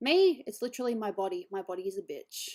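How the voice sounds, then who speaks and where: The voice has a dark, mellow tone and an Australian accent. It comes through a very clean recording with a silent background. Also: woman. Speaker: digital artist streamer. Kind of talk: casual chat.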